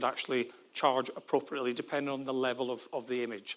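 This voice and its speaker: The speaker talks at a fairly quick clip in a Scottish accent. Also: man. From Scotland, Glasgow. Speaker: forensic psychologist, former military police detective. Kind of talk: conference talk. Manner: fast.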